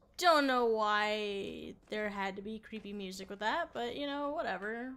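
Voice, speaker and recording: Quiet, bright and sharp speech at a fairly slow pace, with ordinary pitch variation and big swings in loudness. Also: woman, fairly high pitch for a woman. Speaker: gaming video creator. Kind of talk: let's play commentary.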